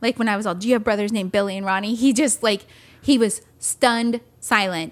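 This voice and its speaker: At a fairly quick pace, a woman with an American accent and a normal speaking voice talks with ordinary pitch variation. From California. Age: 40s. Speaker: podcast co-host. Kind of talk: casual chat. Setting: home studio. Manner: laughs often.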